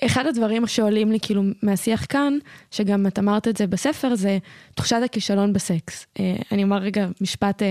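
A woman with a normal speaking voice, medium pitch and ordinary pitch variation at a moderate pace, in a very clean recording with a silent background and a dry, close sound with no echo. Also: very even loudness. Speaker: podcast host. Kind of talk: casual interview.

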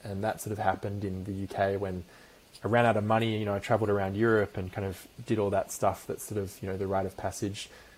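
With an Australian accent, a man speaks at a very fast pace. His fairly low voice stays monotone and flat. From Perth, Western Australia. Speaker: company founder and CEO. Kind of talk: interview.

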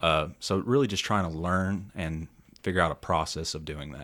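Speaking with a Tennessee accent, a man uses a very deep, low pitch and fairly even intonation at a moderate pace, on a very clean recording with a silent background. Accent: Southern US (Tennessee). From Middle Tennessee (Lebanon). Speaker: salesperson. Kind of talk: casual chat. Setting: studio.

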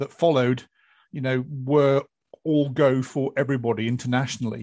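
Against a quiet background, a man with a British accent talks at a moderate pace, his medium-pitched voice fairly even in intonation. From Britain. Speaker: EMS podcast host, former military. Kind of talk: panel discussion.

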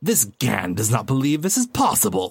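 A man's put-on character voice at a medium pitch for a man. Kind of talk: speaks of itself in third person. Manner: evil, menacing.

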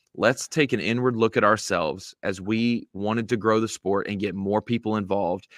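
Against a quiet background, a normal speaking voice with fairly even intonation comes at a moderate pace, with a dry, close sound and no echo. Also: man. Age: 30s. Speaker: bass fishing media personality. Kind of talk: casual interview.

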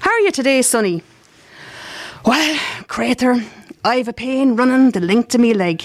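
With an Irish accent, a woman speaks at a fairly high pitch. Her pace is fairly slow and her intonation lively. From Ireland. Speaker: community radio host and writer. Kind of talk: reading aloud. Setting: live broadcast at arts festival.

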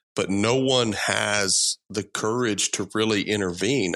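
Over a quiet background, a man with a Texan accent speaks with ordinary pitch variation. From Texas Gulf Coast. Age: 40s. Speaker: school safety expert. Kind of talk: interview.

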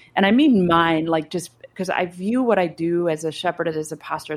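In a Midwestern accent, a woman talks at a moderate pace with lively intonation on a very clean recording with a silent background. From US Midwest, Chicago area. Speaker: pastor. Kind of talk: casual chat.

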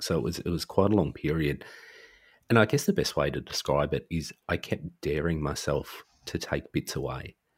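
A man with a very deep, low pitch and vocal fry talks with ordinary pitch variation in a very clean recording over a silent background. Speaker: podcaster and social worker. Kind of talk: casual chat.

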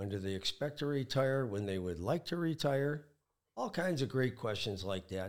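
Recorded very cleanly against a silent background, a man with a US Midwestern accent speaks with lively intonation. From Michigan. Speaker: wealth advisor. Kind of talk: casual interview.

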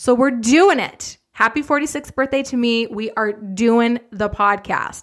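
A woman talks with a high pitch and an animated tone, her pitch varying in an ordinary way. She keeps a fairly slow pace with hardly any pauses. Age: 40s. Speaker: fitness business coach. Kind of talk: podcast monologue. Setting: home office. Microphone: big studio mic.

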